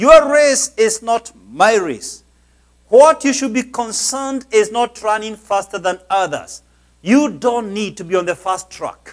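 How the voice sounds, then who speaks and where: At a fairly slow pace and high pitch, a man talks with lively intonation over a quiet background. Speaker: pastor, preacher. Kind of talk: sermon, motivational preaching. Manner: emphatic, preacherly. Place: church. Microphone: lapel.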